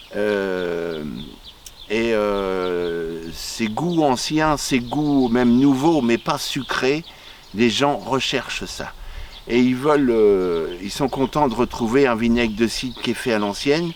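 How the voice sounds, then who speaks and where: Over noticeable background noise, a man at medium pitch talks at a very slow pace with lively intonation. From Normandy, France (Le Havre area, Pays de Caux). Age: 60s. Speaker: cider maker. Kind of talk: interview. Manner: halting, with frequent hesitations.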